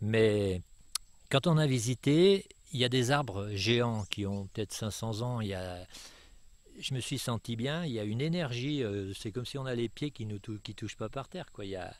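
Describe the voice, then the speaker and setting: A man's unremarkable speaking voice, medium in pitch, with lively intonation at a moderate pace. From France, Savoie. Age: 60s. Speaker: retired landowner. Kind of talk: interview.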